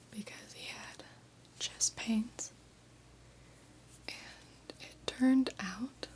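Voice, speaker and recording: Noticeable background noise accompanies a very slow whisper. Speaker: ASMR creator. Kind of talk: ASMR whispered ramble. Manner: whispered.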